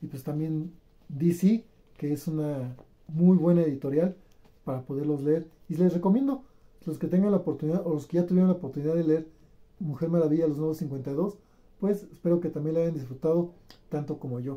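A man speaks at a fairly quick pace with a fairly high pitch, a dark, mellow tone and ordinary pitch variation.

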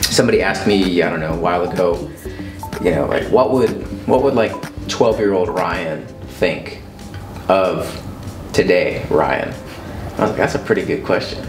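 Over clear background music, a man talks at a moderate pace with ordinary pitch variation. Room echo is audible, and he leaves long, frequent pauses. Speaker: interview guest. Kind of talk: interview answer. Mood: reflective, warm, smiling. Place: home room.

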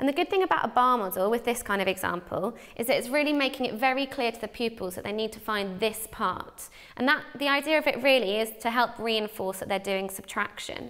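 A woman at a fairly quick pace over a quiet background. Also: ordinary pitch variation. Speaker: teacher. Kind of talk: tutorial. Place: studio. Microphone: lapel.

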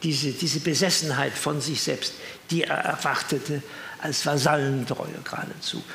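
Over light background noise and audible room echo, a man speaks at a moderate pace. His fairly high voice stays monotone and flat. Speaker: retired professor and author; retired professor. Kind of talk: talk with reminiscences and commentary. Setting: evening event with audience. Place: hall.

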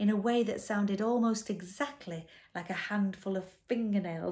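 The text is read aloud in a natural voice.

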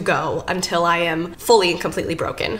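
The talking proceeds at a moderate speed. There is noticeable noise in the background. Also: woman. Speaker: booktuber. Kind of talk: casual reading vlog. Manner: animated.

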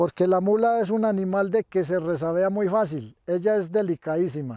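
Against a quiet background, a man speaks at a fairly slow pace in a dark, mellow tone with ordinary pitch variation, the sound dry and close with no echo. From Colombian coffee region, Quindío (Salento). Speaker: mule driver. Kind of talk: demonstration interview. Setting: outdoors on a farm. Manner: halting, repetitive.

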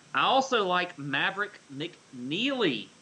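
A man is speaking. His pitch swings very widely. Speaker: golf betting podcast co-host. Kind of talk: casual sports betting chat. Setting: home studio, co-hosts in same room.

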